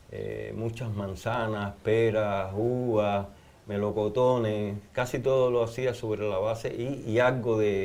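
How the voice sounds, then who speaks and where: At a very slow pace, a man talks at a fairly low pitch. His intonation is monotone and flat. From Cuba. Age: 70s. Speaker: anthropologist and religious researcher. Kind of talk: interview.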